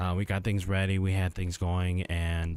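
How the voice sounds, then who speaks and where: Quiet and at a moderate pace, a man speaks at a very deep, low pitch. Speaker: livestreamer. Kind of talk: casual livestream chat.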